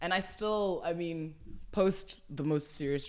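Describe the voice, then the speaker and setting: Moderate pace and ordinary pitch variation from a woman's voice. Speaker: podcast guest. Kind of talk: casual chat. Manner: loud.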